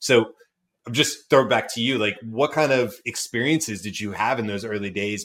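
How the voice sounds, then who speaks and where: A man with a plain, everyday voice speaks at a moderate pace and a fairly low pitch, with ordinary pitch variation, on a very clean recording with a silent background. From US South, Georgia. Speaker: podcast host. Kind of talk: interview.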